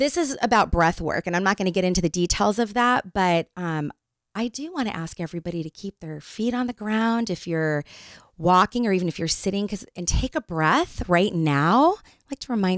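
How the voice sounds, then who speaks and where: A woman with an unremarkable speaking voice at medium pitch, lively intonation and a moderate pace, in a dry, close sound with no echo on a very clean recording with a silent background. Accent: American. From Northern California. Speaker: podcast co-host. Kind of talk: casual interview chat. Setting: studio.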